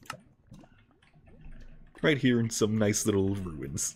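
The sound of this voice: The intonation is fairly even. An unforced reading voice carries it.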